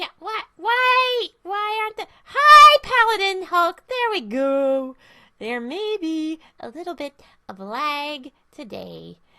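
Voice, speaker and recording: This female-sounding voice is a put-on character voice pitched extremely high. It moves at a fairly slow pace with very wide pitch swings. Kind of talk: casual livestream chat.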